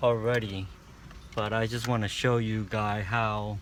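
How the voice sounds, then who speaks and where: A man mumbles at a fairly slow pace, with audible room echo around him. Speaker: amateur car repair video maker. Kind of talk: casual DIY tutorial. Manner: mumbling; halting, hesitant.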